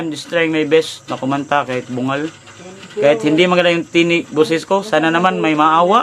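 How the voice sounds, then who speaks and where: Here a man speaks with a high pitch at a fairly quick pace. Noticeable background noise is present. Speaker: vlogger and street vendor. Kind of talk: livestream appeal to viewers. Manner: halting.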